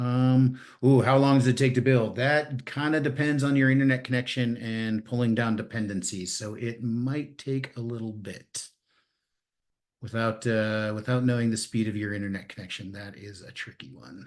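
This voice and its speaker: At a moderate pace, a man uses an ordinary speaking voice of medium pitch, with fairly even intonation and big swings in loudness. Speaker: security workshop presenter. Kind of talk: live technical tutorial.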